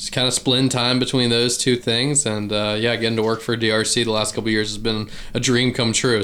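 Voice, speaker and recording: With a slight Southern US accent, a man talks very fast at medium pitch in monotone, flat intonation over noticeable background noise. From Virginia, US. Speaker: duck hunter and YouTuber. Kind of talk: casual interview.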